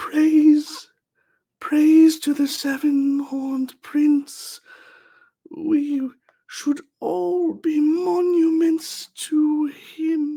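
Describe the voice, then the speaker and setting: In a put-on character voice, a man talks at a very slow pace with an extremely high pitch. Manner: eerie, reverent.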